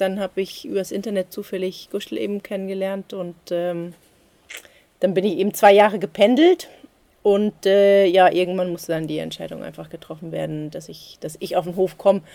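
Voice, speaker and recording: Dark, mellow tone at a moderate pace, with ordinary pitch variation and big swings in loudness. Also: woman. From Germany, Frankfurt am Main. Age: 40s. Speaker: farmer. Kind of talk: interview. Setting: on the farm. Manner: halting, many fillers.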